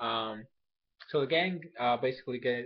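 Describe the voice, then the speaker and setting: The pace is fairly slow. The background is quiet. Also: man. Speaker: anime review youtuber; anime episode reviewer. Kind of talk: casual video review. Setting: at home while others sleep. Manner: quiet, speaking softly; hesitant, many fillers. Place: home room. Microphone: webcam.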